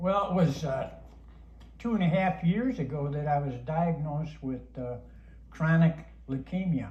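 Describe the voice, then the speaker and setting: Amid noticeable background noise and audible room echo, a man speaks at a fairly slow pace with long, frequent pauses, his fairly high pitch showing ordinary variation. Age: 80s+. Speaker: cancer patient. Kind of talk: testimony.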